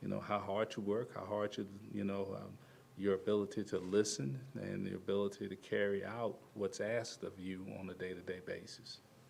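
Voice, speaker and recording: A man at a moderate pace, fairly low in pitch with fairly even intonation, in audible room echo. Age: 60s. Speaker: basketball assistant coach. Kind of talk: press conference. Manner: halting.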